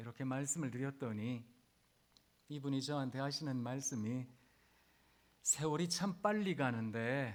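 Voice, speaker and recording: A man at medium pitch, talking at a very slow pace with ordinary pitch variation. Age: 50s. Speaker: pastor. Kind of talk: sermon. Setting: chapel service for hospital staff.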